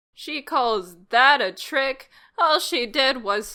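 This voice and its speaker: Using a put-on character voice that sounds female, the speaker talks at a very slow pace in a high pitch for a woman, on a very clean recording with a silent background. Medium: audio drama. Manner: sarcastic.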